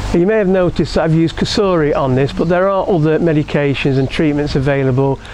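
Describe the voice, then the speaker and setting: A man speaks with fairly high pitch and ordinary pitch variation amid noticeable background noise. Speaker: koi keeper and YouTuber. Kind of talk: tutorial video blog. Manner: casual, halting.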